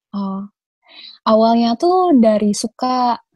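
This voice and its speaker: Here a woman talks at a fairly high pitch. Her voice is somewhat breathy. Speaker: conservation activist. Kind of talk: casual chat. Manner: halting, many fillers.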